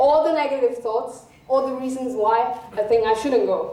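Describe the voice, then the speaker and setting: With a non-native accent, a woman talks at a moderate pace and high pitch, with audible room echo. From South Africa. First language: not English. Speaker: student speaker. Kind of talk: public talk. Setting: stage with audience.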